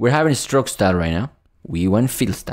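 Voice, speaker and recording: Against a quiet background, a man with a fairly low voice swings his pitch very widely. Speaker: coding instructor. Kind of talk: tutorial. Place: home room.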